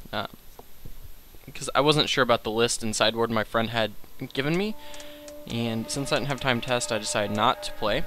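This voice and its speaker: A man's medium-pitched voice moves at a fairly quick pace while music runs in the background. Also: ordinary pitch variation. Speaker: gaming video commentator. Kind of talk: let's play commentary. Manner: casual, frequent filler words.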